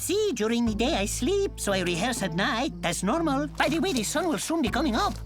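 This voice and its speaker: A cartoonish character voice, fairly high in pitch and fairly quick, plays over loud background music. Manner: theatrical, emotional.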